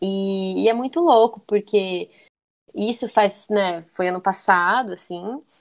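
A woman with a medium pitch and ordinary pitch variation talks very slowly. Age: 20s. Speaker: tattoo artist. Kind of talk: interview. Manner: talkative.

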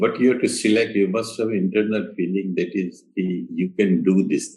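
A man talks at a moderate pace in an Indian accent. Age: 80s+. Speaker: architect. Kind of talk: interview. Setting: remote call.

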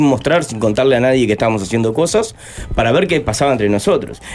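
A man talks with very wide pitch swings. Music plays in the background. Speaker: musician and former cook. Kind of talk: interview.

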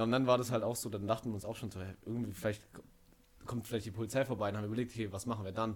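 Talking at a very fast pace, a man with a medium-pitched voice keeps a monotone, flat intonation and leaves long, frequent pauses. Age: 20s. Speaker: student. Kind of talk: casual chat. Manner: halting, many fillers.

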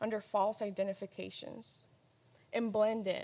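At a moderate pace, a woman talks in an unremarkable speaking voice with a fairly high pitch. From Mexico-born, raised in US from age three. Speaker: ministry apprentice. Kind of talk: personal testimony talk.

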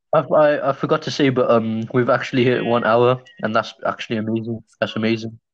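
A man with an ordinary speaking voice, medium pitch, fairly even intonation, very even loudness, a fairly quick pace and hardly any pauses. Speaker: podcast co-host. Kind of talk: casual banter.

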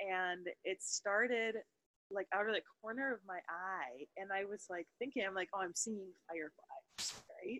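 A woman with an American accent has an ordinary speaking voice at a medium pitch. She speaks at a fairly slow pace with ordinary pitch variation. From US Midwest, Wisconsin. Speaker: podcast co-host. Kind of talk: casual chat.

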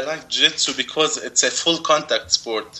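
Someone speaks with an Arabic accent over noticeable background noise. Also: man. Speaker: jiu jitsu competitor. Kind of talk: interview. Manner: halting.

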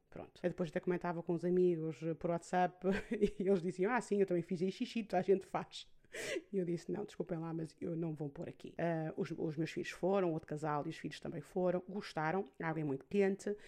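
With a European Portuguese accent, a woman speaks at a fairly quick pace in a fairly low voice with fairly even intonation. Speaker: podcast host. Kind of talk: personal monologue podcast. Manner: hesitant with fillers.

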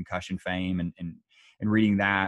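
Speaking in a Southern US accent, a man talks at a fairly low pitch. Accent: Southern American. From US South. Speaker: military nutrition researcher. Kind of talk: interview. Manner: halting, many repetitions.

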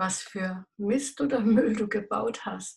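A woman speaks at a very slow pace with a medium pitch. Her voice is somewhat breathy, with ordinary pitch variation. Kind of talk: devotional talk.

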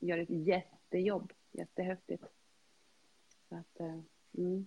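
A woman is speaking. Her pace is very slow. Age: 50s. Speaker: health and fitness coach. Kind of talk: casual chat. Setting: video call.

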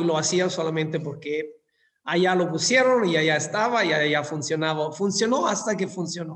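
A man with an Italian accent speaks fairly slowly in a high pitch with ordinary pitch variation, against audible room echo. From southern Italy (Scilla, Calabria). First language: Italian (speaking Spanish). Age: 50s. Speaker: hotel industry executive. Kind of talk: interview.

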